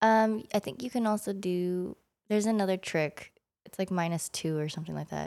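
Here a woman with an ordinary speaking voice talks at a fairly quick pace and medium pitch, with ordinary pitch variation, on a very clean recording with a silent background. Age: 20s. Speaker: nurse. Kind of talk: casual chat.

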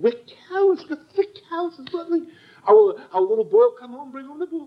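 The voice moves at a fairly quick pace with very wide pitch swings and big swings in loudness. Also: man. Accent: American. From United States. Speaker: Torah teacher. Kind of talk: lecture. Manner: halting, with frequent repetitions.

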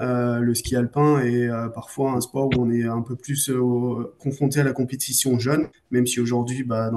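At a moderate pace and medium pitch, a man talks in a monotone, flat intonation with hardly any pauses. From France, Savoie (Beaufort area). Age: 30s. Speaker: sports marketing manager, former cross-country skier. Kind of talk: casual interview. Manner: halting, frequent repetitions and fillers.

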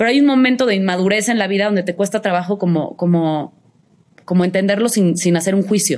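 This woman has a plain, everyday voice with ordinary pitch variation. Her pace is fairly quick. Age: 30s. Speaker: actress. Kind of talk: casual chat.

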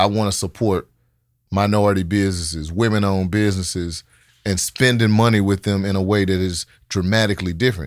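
With a Memphis accent, a man with a fairly low pitch talks at a very fast pace, with fairly even intonation and very even loudness, on a very clean recording with a silent background. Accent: Southern US (Memphis). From Memphis, Tennessee (Oak Haven). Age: 40s. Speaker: mayoral candidate and city development executive. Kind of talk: casual interview.

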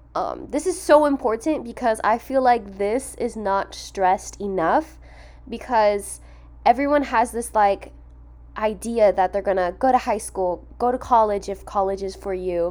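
This woman's pitch sits in the medium range and varies in an ordinary way. She uses an ordinary speaking voice. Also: fairly slow pace. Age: 20s. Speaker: podcast host. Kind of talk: casual monologue.

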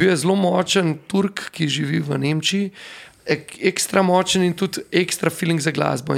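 Background noise is noticeable. Pitch variation is ordinary. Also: man. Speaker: DJ and event organizer. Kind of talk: casual interview chat.

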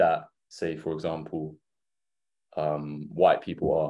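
A man's dark, mellow tone with an Essex accent. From England. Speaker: university student. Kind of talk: panel discussion.

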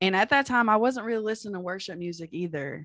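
A woman with an American accent varies her pitch in an ordinary way over a quiet background. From Texas, Fairfield. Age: 20s. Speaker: health caregiver. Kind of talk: casual chat, personal testimony.

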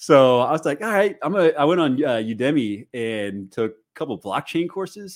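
A man with an American accent speaks at a moderate pace, with very wide pitch swings and big swings in loudness. The recording is very clean, with a silent background. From US Midwest, St. Louis. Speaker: crypto content creator and solar industry consultant. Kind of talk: casual chat.

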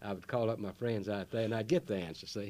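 At a fairly quick pace, a man speaks in a fairly low pitch with ordinary pitch variation, in a very clean recording with a silent background. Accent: Southern US. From US South, North Carolina. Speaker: gardening radio host. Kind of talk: radio talk show. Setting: studio.

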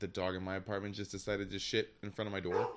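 Over a silent background in a very clean recording, a man with an American accent talks at a very fast pace. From Michigan. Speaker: podcast intern. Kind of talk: casual chat.

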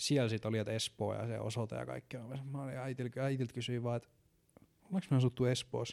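Recorded very cleanly against a silent background, a man speaks with a dark, mellow tone at a medium pitch. The sound is dry and close with no echo, and his intonation is fairly even. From Finland, Ähtäri area and Satakunta. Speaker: podcast host. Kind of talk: casual monologue. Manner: hesitant, many filler words.

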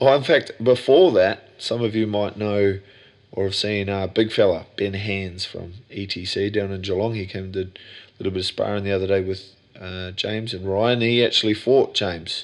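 Against a quiet background, a man speaks in an Australian accent at a moderate pace. His voice is fairly low in pitch, with fairly even intonation. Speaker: gym owner and podcaster. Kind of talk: casual solo podcast monologue. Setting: home, sitting on bed. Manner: casual, jokey, rambling.

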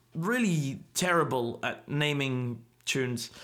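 Audible room echo surrounds a man speaking in a bright, sharp tone. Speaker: folk musician and podcast host. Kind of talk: solo podcast monologue. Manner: halting, many fillers.

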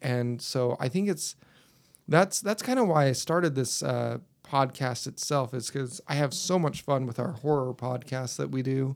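An unremarkable speaking voice, ordinary pitch variation, and a moderate pace. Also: man, medium pitch for a man. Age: 30s. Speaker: podcast host and school bus driver. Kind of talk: casual chat.

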